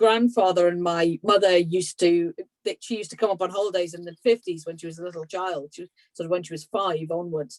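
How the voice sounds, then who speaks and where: A woman with an English accent, very fast and fairly low-pitched, with fairly even intonation and big swings in loudness, in a dry, close sound with no echo. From England. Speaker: maritime heritage researcher. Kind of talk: online talk Q&A. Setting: video call from home.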